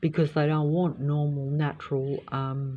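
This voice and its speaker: This woman has a very deep, low pitch and a dark, mellow tone that is somewhat breathy. She speaks at a fairly slow pace. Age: 60s. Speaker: vlogger. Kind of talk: casual vlog monologue. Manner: halting, many filler ums.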